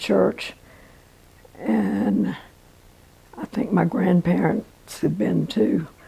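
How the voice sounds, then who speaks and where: Noticeable background noise runs under a woman speaking at a very slow pace. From Norfolk, Virginia. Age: 80s+. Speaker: pianist and piano teacher. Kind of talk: life story interview answer.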